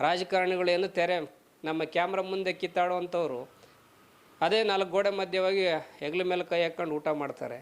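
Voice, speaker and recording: His voice is high in pitch for a man, with fairly even intonation. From Karnataka, Chitradurga district. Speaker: journalist. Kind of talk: video commentary.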